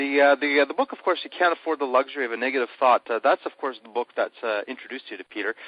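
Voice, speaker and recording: In a Canadian accent, a man speaks at a very fast pace. His pitch is fairly high. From Canada. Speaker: interviewer. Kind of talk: interview. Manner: halting, many fillers.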